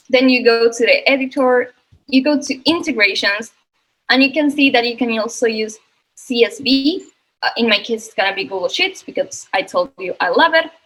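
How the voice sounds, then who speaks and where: Her pitch is high for a woman, and her intonation is lively. The woman keeps a moderate pace. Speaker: software product presenter. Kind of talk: product demo webinar. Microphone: connectivity issues.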